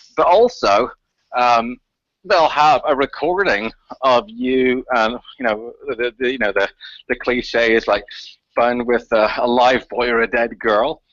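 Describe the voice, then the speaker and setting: A man talks fairly slowly at a medium pitch, with pitch that varies in an ordinary way. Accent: Northern Irish. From Northern Ireland, Belfast. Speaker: activist researcher. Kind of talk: radio interview. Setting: radio show. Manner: halting, many repetitions.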